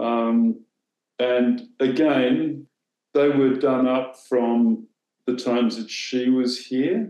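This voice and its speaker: A man with an Australian accent talks at a very slow pace in a dark, mellow tone. His intonation is fairly even, and audible room echo surrounds him. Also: medium pitch for a man, quiet background. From southern Australia. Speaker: former newspaper editor; former newspaper editor, interview guest. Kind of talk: interview. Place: home room. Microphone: video call.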